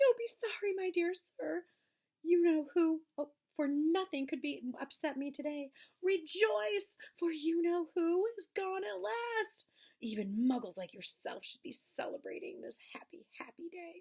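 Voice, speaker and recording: A woman's squeaky, put-on character voice at an extremely high pitch, at a moderate pace. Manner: delighted, gleeful.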